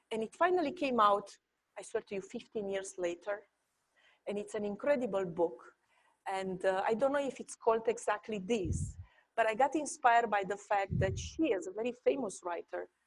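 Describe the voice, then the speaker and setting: With a Romanian accent, a woman talks at a moderate pace in a fairly high voice with lively intonation. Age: 40s. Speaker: architecture professor. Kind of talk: panel discussion. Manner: halting.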